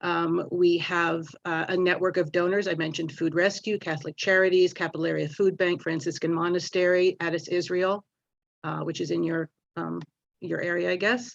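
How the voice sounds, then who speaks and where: With monotone, flat intonation, a woman speaks at a fairly low pitch. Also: moderate pace. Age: 60s. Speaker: food pantry organizer. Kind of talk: public meeting statement. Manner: halting, many fillers.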